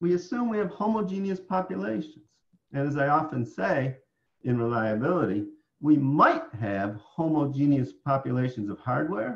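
Speaking in an American accent, a man sounds somewhat breathy at a fairly high pitch, with very wide pitch swings. He keeps a moderate pace over a quiet background. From upstate New York. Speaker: professor; professor presenting tutorial. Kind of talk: lecture. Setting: online conference presentation. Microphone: webcam.

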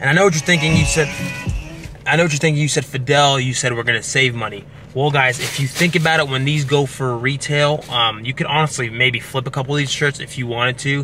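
Music plays in the background while a man speaks with ordinary pitch variation, the sound dry with no echo. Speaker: fitness vlogger. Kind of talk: casual vlog chat. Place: car. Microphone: phone near.

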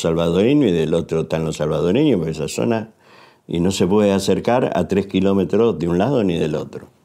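With a dark, mellow tone and a very deep, low pitch, a man talks over a quiet background. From Buenos Aires, Argentina; Argentina. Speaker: war correspondent and photojournalist; war correspondent, photojournalist. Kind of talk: testimony interview. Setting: university. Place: studio.

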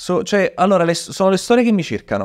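A man talks at a fairly quick pace. Behind him, the background stays quiet. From Italy. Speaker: history storyteller and content creator; history storyteller, content creator. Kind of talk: casual chat with storytelling. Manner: animated. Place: studio. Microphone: studio mic.

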